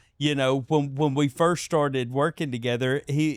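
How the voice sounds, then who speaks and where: A man's medium-pitched, monotone, flat delivery at a moderate pace, dry and close with no echo on a very clean recording with a silent background. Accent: strong Southern. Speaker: podcast host, fight cornerman. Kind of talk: casual chat.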